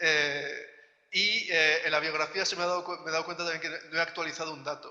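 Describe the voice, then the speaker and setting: This man has a non-native accent. His pitch is fairly high. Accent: foreign (non-Colombian) Spanish. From outside Colombia. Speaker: academic researcher, panelist. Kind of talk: academic panel talk. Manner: halting, many fillers.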